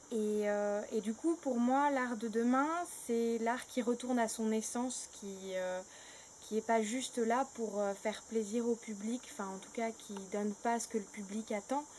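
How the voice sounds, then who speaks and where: A woman with a fairly high pitch speaks fairly slowly, her intonation fairly even. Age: 20s. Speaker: actress and theatre director. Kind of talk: interview monologue. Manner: halting, many hesitations.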